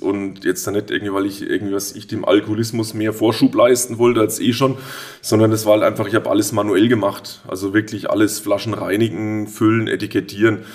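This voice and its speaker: His intonation stays monotone and flat. The man moves at a fairly quick pace. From Würzburg, Lower Franconia (Germany). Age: 40s. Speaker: brewery owner, master brewer. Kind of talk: casual interview.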